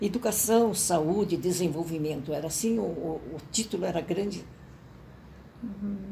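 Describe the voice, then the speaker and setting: A woman's somewhat breathy, dark and mellow voice, fairly low in pitch, at a fairly slow pace with ordinary pitch variation. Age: 80s+. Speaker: professor emerita of communication. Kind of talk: interview answer.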